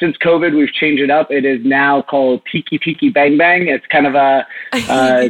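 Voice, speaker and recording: A man speaks with an American accent and fairly even intonation. The sound is dry and close with no echo, though noticeable background noise is present. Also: fairly high pitch for a man, moderate pace. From Texas. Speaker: bar and restaurant owner. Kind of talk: interview.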